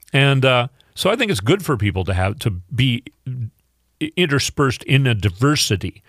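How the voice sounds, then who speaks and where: A man with an Upper Midwest accent, medium pitch, very wide pitch swings and a moderate pace, in a dry, close sound with no echo. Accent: Upper Midwest (Minnesota). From Minnesota. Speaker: fill-in radio host. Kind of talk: political talk radio monologue. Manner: halting, many fillers.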